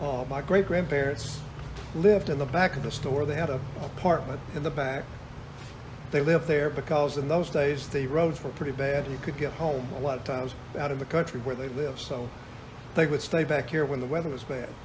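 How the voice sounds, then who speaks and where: A man with an Alabama accent, fairly high in pitch, at a fairly quick pace with fairly even intonation, plus audible room echo and noticeable background noise. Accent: Southern US (Alabama). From US South. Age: 70s. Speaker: retired store owner. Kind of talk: interview.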